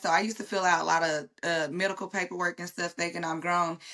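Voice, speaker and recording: A woman's bright, sharp tone with fairly even intonation, over a quiet background. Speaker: guest sharing life story. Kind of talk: casual interview conversation.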